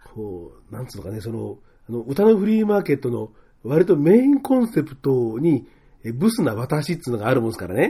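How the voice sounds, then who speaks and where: The voice is somewhat breathy with a dark, mellow tone, and its pitch swings very widely. Loudness rises and falls sharply at a fairly quick pace. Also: man, fairly high pitch for a man. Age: 50s. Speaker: podcast host. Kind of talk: casual chat. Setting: studio.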